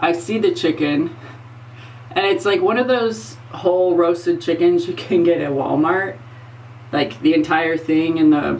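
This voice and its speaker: A woman with a very deep, low pitch and lively intonation talks at a moderate pace, with audible room echo and noticeable background noise. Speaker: former crime scene investigator and makeup vlogger. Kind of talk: casual vlog storytelling. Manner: loud.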